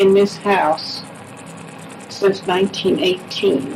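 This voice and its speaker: Over noticeable background noise, a woman with an American accent speaks very slowly at a medium pitch. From US Midwest, Grandview, Missouri. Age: 80s+. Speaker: elderly local resident. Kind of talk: oral history interview.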